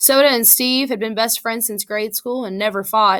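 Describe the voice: What we hear is plain reading aloud.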